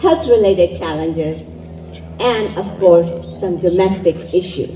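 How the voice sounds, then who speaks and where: Fairly slow speech in a Pakistani accent with ordinary pitch variation and noticeable background noise. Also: woman. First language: Urdu. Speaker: event emcee. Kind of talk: event speech. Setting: community event with live audience.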